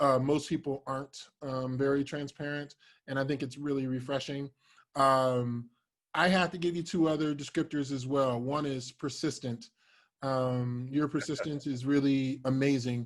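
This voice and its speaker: A man with an American accent speaks at a moderate pace in a fairly high pitch, his intonation fairly even, on a very clean recording with a silent background. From Cincinnati, Ohio, US Midwest. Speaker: podcast host. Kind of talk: casual interview chat.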